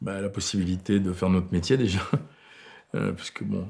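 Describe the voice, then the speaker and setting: A man's very deep, low voice with a dark, mellow tone, at a moderate pace. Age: 60s. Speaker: film director. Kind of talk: interview. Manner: halting.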